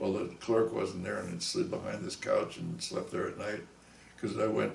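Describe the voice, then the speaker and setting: A man with an American accent talks at a moderate pace, with audible room echo. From US Northeast, Long Island, New York. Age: 70s. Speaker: musician. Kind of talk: interview storytelling. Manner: halting.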